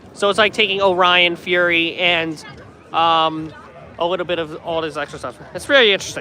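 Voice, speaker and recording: Crowd noise runs in the background as the speaker goes at a moderate pace. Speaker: theme park livestreamer. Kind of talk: live stream chat. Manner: casual, filler-heavy.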